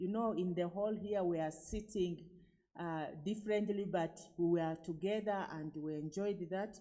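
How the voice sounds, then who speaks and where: A woman with a medium-pitched voice speaks at a moderate pace. Her intonation stays fairly even, and audible room echo is heard. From Uganda. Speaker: conference participant. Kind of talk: event report. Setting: conference hall.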